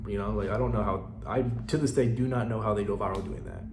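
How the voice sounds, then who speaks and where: Over music in the background and audible room echo, a man speaks at a very fast pace. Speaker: small business owner and social media creator. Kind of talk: informational tutorial. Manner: casual with many fillers.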